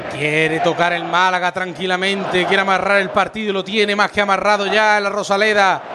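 A man with a high pitch talks in a raised, projected voice at a fairly quick pace with hardly any pauses. Noticeable background noise runs behind him. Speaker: radio football commentator. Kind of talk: live football commentary. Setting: stadium press box, radio broadcast. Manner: fast, rapid-fire play-by-play; animated, excited.

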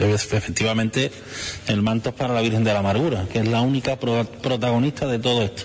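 Over noticeable background noise, a man talks at a very fast pace with very even loudness. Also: medium pitch for a man, fairly even intonation. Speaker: brotherhood head. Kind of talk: interview.

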